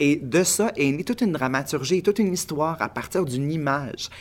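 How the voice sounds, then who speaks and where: A man's lively intonation at a moderate pace. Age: 30s. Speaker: playwright and actor. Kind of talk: interview.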